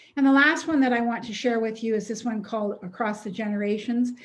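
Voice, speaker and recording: A woman speaks with a Canadian accent in a fairly high, somewhat breathy voice. Her intonation stays fairly even. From Alberta, Canada. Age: 70s. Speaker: retired teacher presenting a seniors project. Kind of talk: webinar presentation. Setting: online webinar. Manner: fast.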